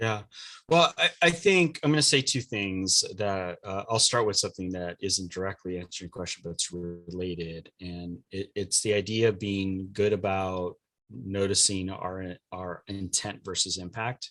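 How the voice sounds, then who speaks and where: On a very clean recording with a silent background, a man's fairly low voice has a bright, sharp tone. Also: ordinary pitch variation, moderate pace. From US West Coast, Los Angeles. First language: Spanish. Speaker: diversity coach and trainer. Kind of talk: podcast interview. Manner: hesitant, many fillers.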